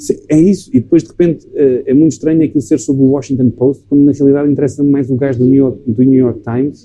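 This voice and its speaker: A man with a European Portuguese accent at a very fast pace, hardly any pauses, very even loudness and fairly even intonation. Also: fairly high pitch for a man. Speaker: film director. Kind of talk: casual chat. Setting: recorded in a bar.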